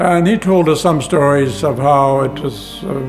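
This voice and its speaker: There is music in the background as a man speaks. His pitch is fairly high, with ordinary variation. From Ukraine. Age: 90s. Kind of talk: interview answer.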